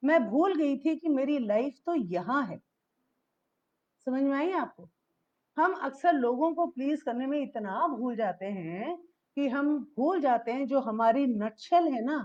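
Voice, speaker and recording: Her voice is high-pitched, and this woman uses lively intonation. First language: English stronger than Hindi (speaking Hindi). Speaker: founder telling life story. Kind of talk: motivational talk.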